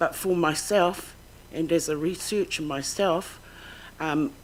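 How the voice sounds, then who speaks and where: A woman speaks with a New Zealand accent at a fairly slow pace. Her pitch is fairly low, with ordinary variation. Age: 60s. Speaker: claimant witness. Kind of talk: testimony. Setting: tribunal hearing. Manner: halting.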